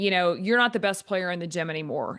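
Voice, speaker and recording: Over music in the background, a woman with an American accent talks at a medium pitch. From Texas. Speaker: volleyball strength and conditioning coach. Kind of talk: podcast interview. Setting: remote call. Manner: monotone.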